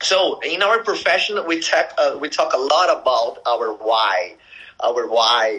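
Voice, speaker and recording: Over noticeable background noise, a man with a Brazilian accent speaks at a fairly slow pace. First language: Portuguese. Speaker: network marketing leader. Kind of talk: casual interview. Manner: halting, many fillers.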